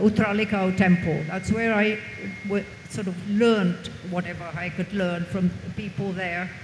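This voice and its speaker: A somewhat breathy woman's voice with audible room echo. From England. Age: 80s+. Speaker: author. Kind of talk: panel interview. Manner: halting.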